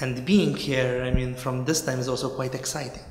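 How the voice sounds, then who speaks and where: This is a man speaking. Room echo is audible. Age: 20s. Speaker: neuroscientist. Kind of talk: interview answer. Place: office.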